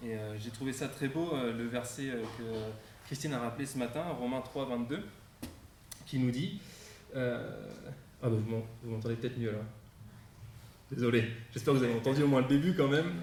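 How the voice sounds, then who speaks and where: A man speaks at a medium pitch with a slight northern French accent, leaving long, frequent pauses amid audible room echo and noticeable background noise. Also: ordinary pitch variation, moderate pace. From northern France near Belgium, Champagne-Ardenne. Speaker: guest preacher. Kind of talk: sermon. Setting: church service, live-streamed. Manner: hesitant, many fillers.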